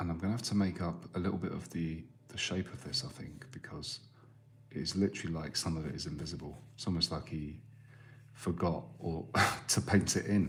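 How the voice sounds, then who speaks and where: Very deep and low, a man's voice moves at a fairly quick pace with ordinary pitch variation. His tone is calm, with vocal fry. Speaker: artist. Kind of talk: live drawing stream commentary. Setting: live stream. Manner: quiet.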